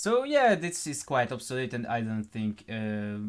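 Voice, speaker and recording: This man talks with a non-native accent. His pitch sits in the medium range. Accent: terrible accent, non-native English. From Hungary. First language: Hungarian. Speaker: gaming YouTuber. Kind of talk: gameplay walkthrough, improvised. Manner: halting, many fillers.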